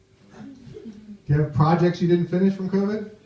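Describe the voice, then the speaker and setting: With an American accent, a man speaks at a moderate pace in a high voice with fairly even intonation. There is audible room echo. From United States. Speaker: stand-up comedian. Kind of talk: stand-up. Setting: stage with audience.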